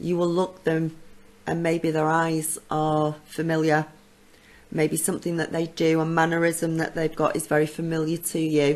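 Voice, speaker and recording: A husky woman's voice, very deep and low in pitch, at a moderate pace. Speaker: psychic channel host. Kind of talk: casual Q&A talk to camera. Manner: hesitant, many ums.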